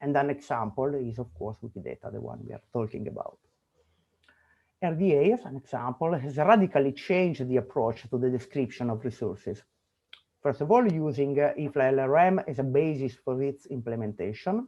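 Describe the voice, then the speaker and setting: A man with a dark, mellow tone talks at a fairly quick pace, using lively intonation and big swings in loudness. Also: fairly high pitch for a man. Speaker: conference speaker. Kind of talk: conference presentation. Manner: fast.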